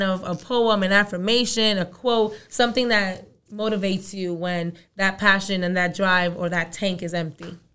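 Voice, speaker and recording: A woman with a New York accent, medium in pitch, at a moderate pace with fairly even intonation. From Brooklyn, New York. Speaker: college and career counselor, podcast co-host. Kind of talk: casual chat.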